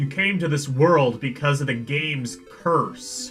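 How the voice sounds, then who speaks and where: Faint music plays behind a man doing a put-on character voice at a fairly high pitch and a fairly slow pace. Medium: game stream. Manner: blunt, teasing.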